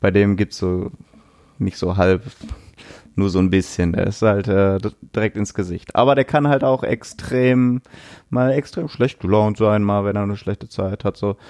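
Recorded very cleanly against a silent background, with a dry, close sound and no echo, a man of fairly low pitch talks at a moderate pace with ordinary pitch variation and long, frequent pauses. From Duisburg, Ruhr area, Germany. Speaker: tattoo artist. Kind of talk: interview. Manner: casual.

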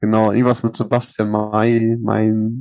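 A man speaks in a fairly low pitch. His pace is fairly slow. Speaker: podcast host. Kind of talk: casual chat. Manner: loud.

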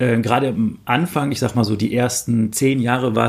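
The man's intonation is monotone and flat. His pitch is medium. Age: 30s. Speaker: online forum founder. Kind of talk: interview. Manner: hesitant, many fillers.

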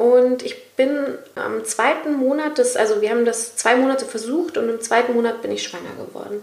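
With noticeable background noise and audible room echo, a woman speaks in a high pitch at a moderate pace, her pitch varying in an ordinary way and hardly any pauses. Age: 30s. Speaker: podcast host, radio presenter. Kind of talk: casual chat.

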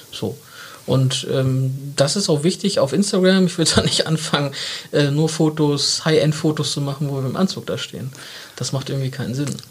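A man with a fairly high pitch and ordinary pitch variation talks at a moderate pace amid noticeable background noise. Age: 30s. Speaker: marketing agency partner. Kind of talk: casual interview. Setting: studio.

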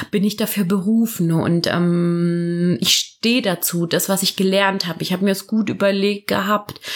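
A woman at a medium pitch and moderate pace, with fairly even intonation and very even loudness, over noticeable background noise. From southern Germany, near Karlsruhe. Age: 30s. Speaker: midwife. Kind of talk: casual interview chat. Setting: at the guest's home.

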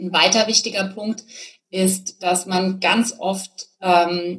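A normal speaking voice. Its intonation stays fairly even. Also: woman. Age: 40s. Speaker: business coach. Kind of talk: interview.

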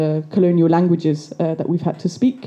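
This woman speaks with an English accent. Her pitch sits fairly low. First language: English (speaking German). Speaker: activist and storyteller. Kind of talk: storytelling performance.

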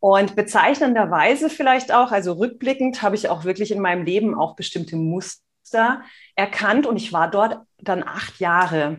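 A woman speaks in an ordinary speaking voice at a medium pitch and a moderate pace. Her intonation is lively, and the background is quiet. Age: 40s. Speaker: nonverbal communication expert and entrepreneur. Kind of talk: casual interview.

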